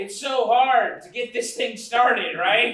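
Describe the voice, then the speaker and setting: In a put-on character voice, a man speaks at an extremely high pitch and a fairly slow pace, with slight echo. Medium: stage play. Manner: overwrought, melodramatic.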